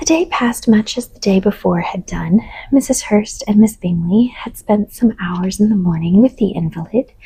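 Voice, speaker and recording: Soft-spoken and at a moderate pace, a woman talks with hardly any pauses in a medium-pitched voice, her pitch varying in an ordinary way while her loudness swings widely. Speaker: audiobook reader. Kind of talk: sleep story reading.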